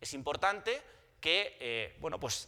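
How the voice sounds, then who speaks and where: The voice belongs to a man. His tone is bright and sharp. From Spain. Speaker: telecom consultant, conference presenter. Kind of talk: conference presentation. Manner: halting, with frequent repetitions and fillers.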